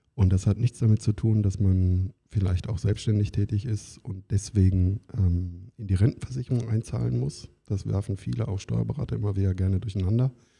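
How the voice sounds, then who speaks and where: Lively intonation marks this man's voice, pitched fairly low. His tone is dark, mellow, and somewhat breathy. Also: moderate pace. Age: 50s. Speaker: employment lawyer. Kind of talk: interview.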